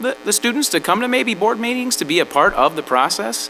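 A man with an American accent speaks at a high pitch, his pitch swinging very widely. Music plays in the background. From Texas (Odessa), raised mostly in Wausau, Wisconsin. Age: 40s. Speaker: school board candidate. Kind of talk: candidate forum answer. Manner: halting, repeating words.

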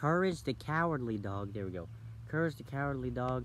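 A man talks at a moderate pace with lively intonation, the sound dry with no echo but with noticeable background noise. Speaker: vlogger. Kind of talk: casual vlog chat. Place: forest. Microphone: phone near.

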